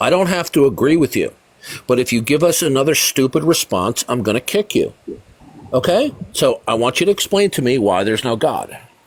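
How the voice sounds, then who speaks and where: A man's fairly high voice at a fairly quick pace, with very wide pitch swings and a dry, close sound with no echo. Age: 60s. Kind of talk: live call-in debate. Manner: forceful.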